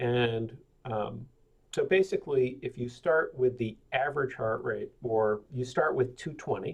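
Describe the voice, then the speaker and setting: A man's somewhat breathy voice at medium pitch, at a fairly slow pace. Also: ordinary pitch variation. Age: 60s. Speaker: webinar presenter, amateur endurance athlete. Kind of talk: webinar presentation. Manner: casual, many filler words.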